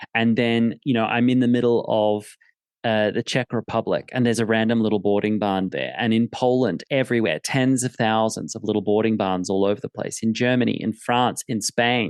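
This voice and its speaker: A man with a normal speaking voice at medium pitch, a fairly quick pace and fairly even intonation, dry and close with no echo, over a quiet background. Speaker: podcast host, horse trainer. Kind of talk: conversational podcast talk.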